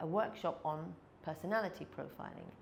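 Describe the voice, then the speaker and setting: The speaker uses ordinary pitch variation at a moderate pace, with audible room echo. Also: woman. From England. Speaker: sales and people skills trainer. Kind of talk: podcast interview.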